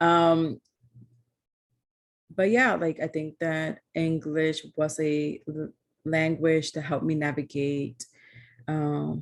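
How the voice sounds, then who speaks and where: Speaking at a very slow pace with long, frequent pauses, a woman uses a very deep, low pitch. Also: fairly even intonation. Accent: American. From United States, raised from age five by Ecuadorian Quechua family. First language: Spanish. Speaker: poet. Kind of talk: interview conversation. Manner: casual, many fillers.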